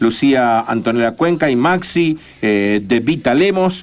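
A man of medium pitch with lively intonation. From Argentina. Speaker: radio co-host. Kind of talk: casual radio chat. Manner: animated. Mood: warm, friendly. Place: studio. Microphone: studio mic.

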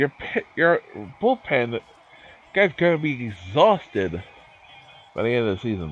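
Over noticeable background noise, the speech moves at a fairly slow pace with long, frequent pauses and very wide pitch swings. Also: man, medium pitch for a man. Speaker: streamer playing a baseball game. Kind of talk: casual livestream chat. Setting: video game livestream. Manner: rambling, halting, swears when annoyed.

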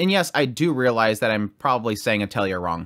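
Over a quiet background, a man speaks at a fairly quick pace with very wide pitch swings. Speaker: anime reviewer. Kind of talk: review commentary. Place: home room. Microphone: studio mic.

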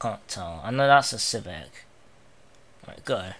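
A man with a southern English accent, medium pitch, a bright, sharp tone, vocal fry and very wide pitch swings. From England, not the north. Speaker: gaming YouTuber. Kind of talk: let's play commentary. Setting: home recording, playing emulator. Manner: animated.

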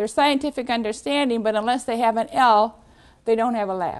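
A high-pitched woman with ordinary pitch variation against a quiet background. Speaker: university transfer credit staff presenter. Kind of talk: training seminar presentation. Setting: room with live audience.

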